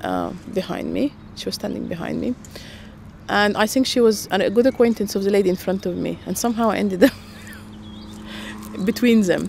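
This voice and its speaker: Against noticeable background noise, a woman speaks at a fairly quick pace but leaves long, frequent pauses. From Sudan. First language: Russian. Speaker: interviewee sharing migration story. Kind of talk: personal storytelling. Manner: hesitant, many fillers.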